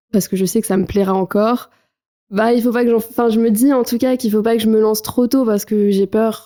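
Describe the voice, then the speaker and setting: A woman with a dark, mellow tone speaks at a moderate pace. The recording is very clean, with a silent background. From southern France, Marseille. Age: 20s. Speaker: trail runner. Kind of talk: podcast interview.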